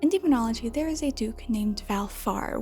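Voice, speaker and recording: Someone whispers quietly at a moderate pace against noticeable background noise. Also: woman. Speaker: video essayist. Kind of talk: video essay commentary. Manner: whispered, quiet.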